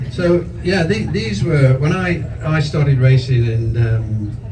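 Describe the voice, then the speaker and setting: A man's medium-pitched voice, with ordinary pitch variation, comes through noticeable background noise and audible room echo. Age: 60s. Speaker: motorcycle expert. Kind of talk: casual chat.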